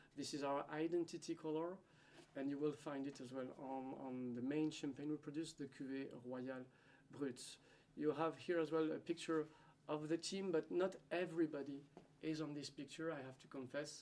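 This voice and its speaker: With a French accent, a man speaks at a fairly high pitch with fairly even intonation. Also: moderate pace. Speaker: winery hospitality manager. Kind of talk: conference presentation. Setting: seminar at a school. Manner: halting, with fillers.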